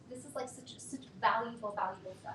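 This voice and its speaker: A woman speaks with an animated tone at a fairly quick pace amid audible room echo. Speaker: workshop facilitator, mental health educator. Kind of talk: workshop talk.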